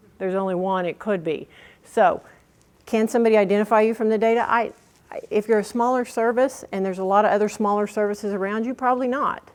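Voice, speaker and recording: A woman speaks very fast in a slight Oklahoma accent. Her pitch sits in the medium range. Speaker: workshop presenter. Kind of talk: workshop presentation. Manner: animated.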